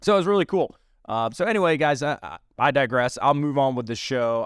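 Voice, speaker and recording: A dry, close sound with no echo in a very clean recording with a silent background. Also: man. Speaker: political podcast host. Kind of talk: casual monologue. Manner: halting.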